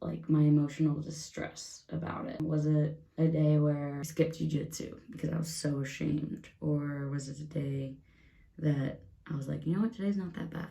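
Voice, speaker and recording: A soft-spoken, somewhat breathy woman with a very deep, low pitch and a dark, mellow tone, at a moderate pace amid audible room echo. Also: fairly even intonation. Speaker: beauty vlogger. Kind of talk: casual get-ready-with-me vlog. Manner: quiet, soft-spoken.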